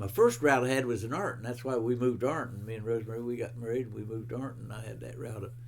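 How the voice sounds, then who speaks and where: Very fast, nearly pauseless speech in an American accent, with fairly even intonation, big swings in loudness and audible room echo. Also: man, medium pitch for a man. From West Virginia. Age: 90s. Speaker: retired bread truck driver. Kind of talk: oral history interview. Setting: at his home. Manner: halting.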